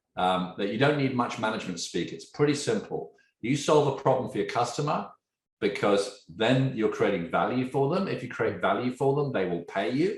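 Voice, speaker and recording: A man at medium pitch with an animated tone, vocal fry and a moderate pace. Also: lively intonation. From England. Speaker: tech entrepreneur. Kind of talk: podcast interview.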